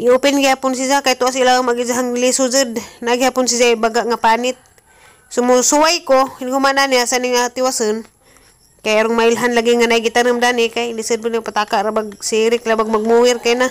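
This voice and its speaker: A woman speaks at a fairly quick pace. Her intonation is monotone and flat. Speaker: home vlogger. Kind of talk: casual vlog chat. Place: garden. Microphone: phone near.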